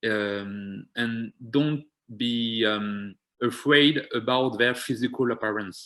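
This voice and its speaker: At a very slow pace, a man with a French accent speaks at a medium pitch with fairly even intonation. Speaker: community health programme organiser. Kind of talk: seminar presentation. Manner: halting, many fillers.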